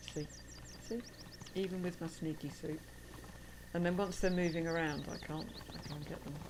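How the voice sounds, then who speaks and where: Long, frequent pauses break up speech with fairly even intonation in a space with audible room echo. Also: woman, fairly low pitch for a woman, moderate pace. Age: 50s. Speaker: gaming streamer. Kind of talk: casual gameplay livestream chat.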